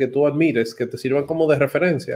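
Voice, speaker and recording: This man speaks with a Dominican accent. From Dominican Republic, Santo Domingo. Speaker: tech channel host. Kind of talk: interview on a livestream.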